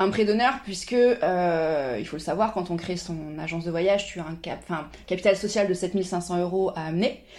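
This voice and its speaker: Here is an unremarkable speaking voice with ordinary pitch variation. The pace is moderate. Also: woman. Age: 30s. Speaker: travel agency founder. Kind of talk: casual interview.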